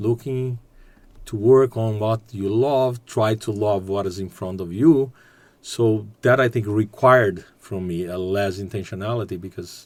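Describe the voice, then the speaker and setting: A man with a Portuguese accent at a fairly low pitch, fairly slow and with ordinary pitch variation, on a very clean recording with a silent background. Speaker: business executive and graduate student. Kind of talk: podcast interview. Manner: halting.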